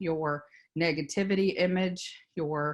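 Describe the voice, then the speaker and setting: Against a quiet background, a woman with a Louisiana accent speaks with ordinary pitch variation. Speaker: business consultant. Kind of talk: workshop presentation.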